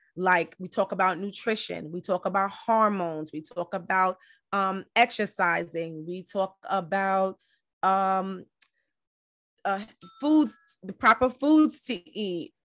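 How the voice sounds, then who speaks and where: Backed by music, a woman speaks at a very slow pace and medium pitch, with ordinary pitch variation and big swings in loudness. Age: 40s. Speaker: podcast host and wellness coach. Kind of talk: casual solo podcast monologue. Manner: conversational with frequent fillers.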